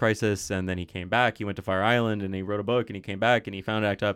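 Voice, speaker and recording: Speaking at a very fast pace, a man with an American accent and a fairly low pitch is heard in a very clean recording with a silent background. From United States. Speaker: student activist. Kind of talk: casual chat.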